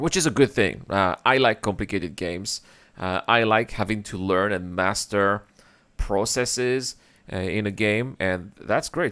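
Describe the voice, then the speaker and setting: On a very clean recording with a silent background, a man speaks at a moderate pace in a fairly low pitch. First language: French. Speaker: gaming reaction youtuber. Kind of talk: reaction commentary. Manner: animated.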